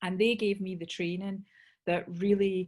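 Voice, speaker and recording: A woman's somewhat breathy voice in a Scottish accent at a moderate pace. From Scotland. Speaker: sales trainer. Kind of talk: webinar talk. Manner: animated.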